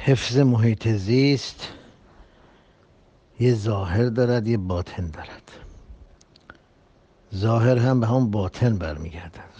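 Speaking at a fairly slow pace with long, frequent pauses, a man has a medium pitch, ordinary pitch variation, and a dark, mellow, somewhat breathy tone. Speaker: religious preacher. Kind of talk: public address on social issues.

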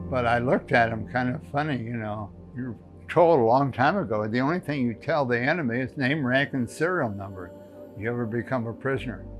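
A man talks at a fairly quick pace while clear music plays behind him. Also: ordinary pitch variation. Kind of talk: interview answer. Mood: calm, reflective. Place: home room. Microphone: lapel.

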